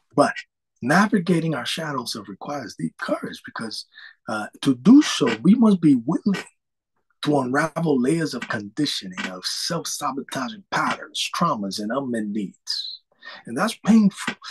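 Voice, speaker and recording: A man speaks in a fairly high, somewhat breathy voice, with very wide pitch swings and big swings in loudness. The sound is dry and close, with no echo. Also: moderate pace. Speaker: life coach. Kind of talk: webinar talk. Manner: casual, with hesitations.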